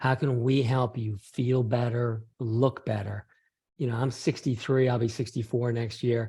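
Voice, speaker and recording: Speaking at a fairly slow pace, a man has a medium pitch and a dark, mellow, somewhat breathy tone. His intonation stays monotone and flat. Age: 60s. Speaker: PhD scientist. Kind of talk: interview.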